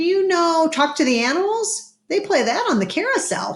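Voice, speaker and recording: This is a squeaky, put-on character voice. The pitch is extremely high. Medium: read story. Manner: teasing, cheeky.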